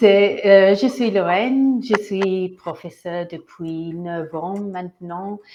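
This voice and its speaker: A woman with a strong non-native accent talks at a very slow pace, with hardly any pauses and big swings in loudness. Her voice sits at a medium pitch and has a dark, mellow tone. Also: ordinary pitch variation. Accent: strong foreign accent in French. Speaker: English teacher. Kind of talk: self-introduction in meeting. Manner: halting, hesitant.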